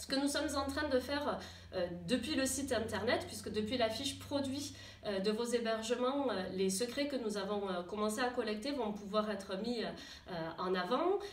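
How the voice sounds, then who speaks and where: A woman's fairly high voice with ordinary pitch variation, against noticeable background noise. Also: moderate pace. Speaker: tourism association staff member presenting a new web app to gîte owners. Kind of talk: corporate presentation to camera, informal explanatory talk. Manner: conversational, many hesitations and fillers.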